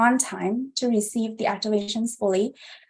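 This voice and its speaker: At a moderate pace, a woman with a fairly high pitch speaks in a dark, mellow tone. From Vietnam, moved to US as a child. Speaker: instructor. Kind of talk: online class instruction. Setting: livestream. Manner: hesitant fillers (um, uh).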